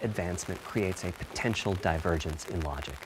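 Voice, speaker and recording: The background has noticeable noise. A man talks at a fairly quick pace. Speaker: console hardware architect. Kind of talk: technical presentation.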